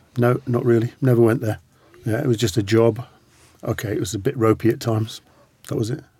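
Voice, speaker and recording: A man at medium pitch speaks fairly quickly with a dark, mellow tone and a somewhat breathy quality. His intonation stays fairly even, broken by long, frequent pauses. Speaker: veteran and former hostage. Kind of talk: interview recounting experiences.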